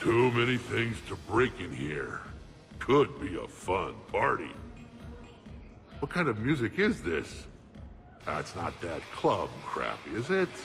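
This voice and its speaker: A put-on character voice moves at a fairly slow pace with long, frequent pauses. Background noise is clear. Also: man. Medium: video game. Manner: curt, blunt.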